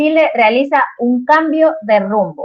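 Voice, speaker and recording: Her intonation lively, a woman talks with an Ecuadorian accent. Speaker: interviewer, editor of a digital politics magazine. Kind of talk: live-streamed interview. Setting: live stream.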